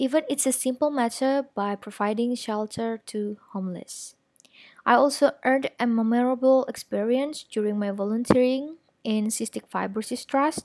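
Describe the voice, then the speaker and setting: A woman with an Indonesian accent speaks at a high pitch and a moderate pace with ordinary pitch variation, on a dry, close recording with no echo. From Indonesia, Malang, East Java. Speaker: finance graduate and strategic planner. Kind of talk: prepared talk to an audience. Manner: formal.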